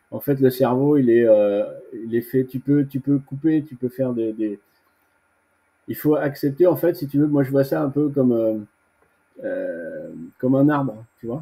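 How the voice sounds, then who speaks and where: At a fairly slow pace with long, frequent pauses, a man with a dark, mellow tone speaks at a medium pitch with ordinary pitch variation. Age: 60s. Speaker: veteran bodybuilder. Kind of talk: interview. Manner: casual; halting.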